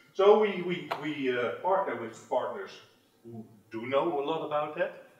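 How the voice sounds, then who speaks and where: A man's lively intonation comes through with audible echo from the room. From Netherlands. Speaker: tech industry manager. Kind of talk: conference presentation. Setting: stage with audience. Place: meeting room.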